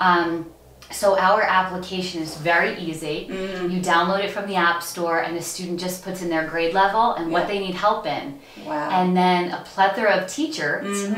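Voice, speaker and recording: A woman's voice at a moderate pace, with fairly even intonation, audible room echo and light background noise. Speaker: interview guest. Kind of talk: interview answer. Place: studio.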